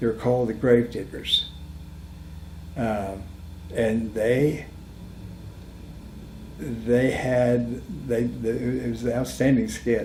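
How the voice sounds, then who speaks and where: The man speaks at a very slow pace. He leaves long, frequent pauses. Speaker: house remodeler. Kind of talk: interview answer, personal ghost story. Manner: rambling, hesitant.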